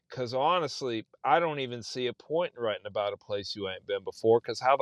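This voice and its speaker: This speaker talks at a fairly quick pace with an American accent. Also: man. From South Texas. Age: 40s. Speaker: novelist. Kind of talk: casual chat.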